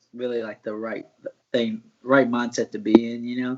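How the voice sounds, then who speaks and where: Using an ordinary speaking voice, a man with an American accent talks at medium pitch and a moderate pace, his intonation fairly even. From US South, Martinsville, Virginia. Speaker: mixed martial arts fighter, former college wrestler. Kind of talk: interview. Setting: live stream.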